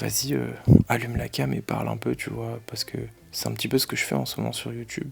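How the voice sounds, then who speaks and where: A man is soft-spoken. Noticeable background noise can be heard behind him. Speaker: powerlifter and vlogger. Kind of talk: casual vlog.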